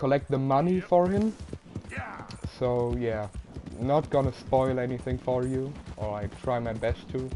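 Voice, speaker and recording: Amid noticeable background noise, a man speaks at a medium pitch and fairly slow pace with lively intonation and long, frequent pauses. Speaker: gamer streamer. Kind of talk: casual gameplay commentary. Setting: home live stream. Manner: halting. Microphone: poor quality microphone.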